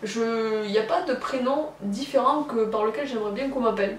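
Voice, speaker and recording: The speaker talks at a fairly quick pace with ordinary pitch variation. Noticeable background noise and audible room echo fill the recording. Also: woman. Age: 20s. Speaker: YouTuber. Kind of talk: personal vlog confession. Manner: halting, many hesitations.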